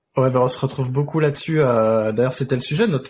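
A man's somewhat breathy voice sits at a medium pitch and varies in pitch in an ordinary way. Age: 40s. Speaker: podcast host and freelance DevOps consultant. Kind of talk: casual interview chat.

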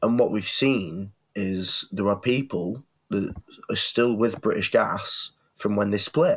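Here a man speaks with a northern English accent. He goes at a fairly slow pace. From northwest England. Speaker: podcast co-host. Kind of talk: casual debate chat. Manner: hesitant, many fillers.

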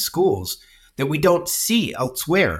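Over a silent background in a very clean recording, a man speaks somewhat breathily with lively intonation. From US. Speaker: charity executive working with young people. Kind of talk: casual interview conversation. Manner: rambling, talkative.

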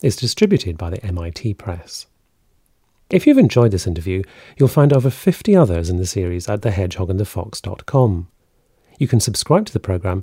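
Talking fairly quickly, a man has a somewhat breathy voice. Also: very clean recording, silent background. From Scotland. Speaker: podcast host. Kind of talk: scripted narration; interview.

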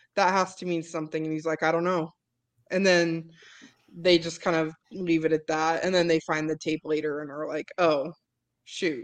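Speaking at a moderate pace against a quiet background, a woman uses a fairly low pitch and monotone, flat intonation. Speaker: podcast host. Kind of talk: casual chat.

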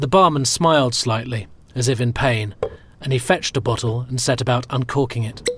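Plain reading aloud carries ordinary pitch variation from start to finish.

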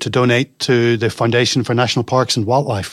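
A man talks at a very fast pace on a very clean recording with a silent background. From Northern Ireland. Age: 40s. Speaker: self-employed IT business owner and podcaster. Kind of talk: casual interview chat.

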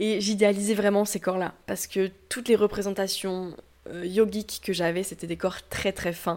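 Her intonation monotone and flat, a woman speaks at a moderate pace and a medium pitch. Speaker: yoga teacher. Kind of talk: interview.

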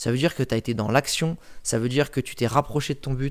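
His pitch is medium. The man keeps a moderate pace. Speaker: personal branding coach and travel blogger. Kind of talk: casual interview. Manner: animated, talks constantly; loud.

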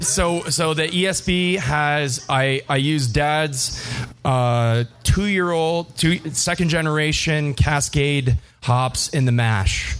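Very slowly, a man with a Canadian accent speaks. His pitch is fairly high, with ordinary pitch variation. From Windsor, Ontario, Canada. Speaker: brewer. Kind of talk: live podcast conversation. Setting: brewpub with live audience.

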